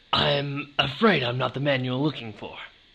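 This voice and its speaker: A man puts on a raspy character voice at medium pitch. He keeps a moderate pace with ordinary pitch variation. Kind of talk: noir detective parody. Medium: audio drama. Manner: deadpan, dry.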